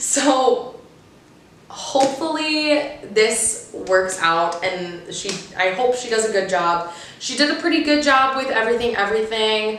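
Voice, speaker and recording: Against noticeable background noise and audible room echo, a woman speaks fairly slowly in a fairly high pitch with lively intonation. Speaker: booktuber. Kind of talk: casual vlog talk to camera.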